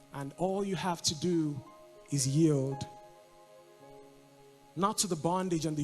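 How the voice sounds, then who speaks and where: Over background music, a man with a fairly high pitch speaks at a fairly slow pace. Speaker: spoken word poet performing at a church service. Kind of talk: spoken word poetry with background music, church setting.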